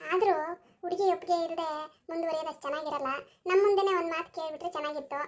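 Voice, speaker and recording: Using a put-on character voice, a woman sounds squeaky at an extremely high pitch, with fairly even intonation at a moderate pace. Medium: cartoon. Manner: polite, accommodating.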